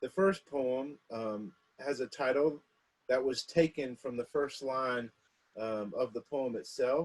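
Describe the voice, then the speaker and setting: In a plain, everyday voice, a man speaks at a medium pitch with ordinary pitch variation, the sound dry and close with no echo. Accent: American. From South Carolina. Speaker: poet. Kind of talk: introduction to a poetry reading.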